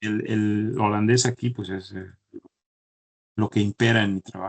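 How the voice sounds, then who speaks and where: The delivery comes at a fairly slow pace with monotone, flat intonation. The sound is dry and close, with no echo. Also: man, fairly low pitch for a man. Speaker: chemical engineer. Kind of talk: interview. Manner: halting, many repetitions.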